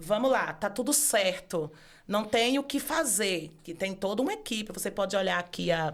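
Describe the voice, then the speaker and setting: Her intonation rises and falls in a lively way. The woman keeps her speech at a moderate pace. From Brazilian Northeast, Bahia (Feira de Santana area). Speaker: law professor and author. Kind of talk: casual interview chat.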